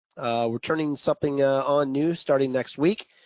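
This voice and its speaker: The recording is dry and close, with no echo. A man with a plain, everyday voice speaks at a moderate pace, his medium pitch showing ordinary variation. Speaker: trading coach. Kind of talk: live webinar presentation. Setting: online webinar. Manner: casual, joking.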